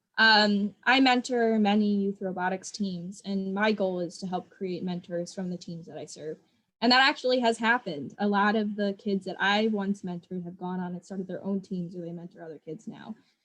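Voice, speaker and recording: A woman with an American accent speaks at a medium pitch and a moderate pace, with ordinary pitch variation. She uses hardly any pauses, and her loudness swings widely. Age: 20s. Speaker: educator and nonprofit founder. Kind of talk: interview. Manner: casual, enthusiastic.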